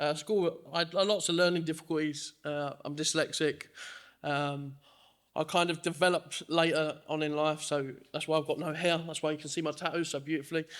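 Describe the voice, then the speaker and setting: Speaking fairly quickly in a flat monotone, a man with a fairly high voice is heard on a very clean recording against a silent background. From Dagenham, east London. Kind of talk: testimony. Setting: church service with congregation.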